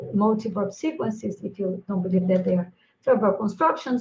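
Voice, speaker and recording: A somewhat breathy voice with a Brazilian accent. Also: woman. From Brazil, Minas Gerais (Triângulo Mineiro). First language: Brazilian Portuguese. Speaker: linguistics professor. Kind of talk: conference lecture. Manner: halting with many fillers.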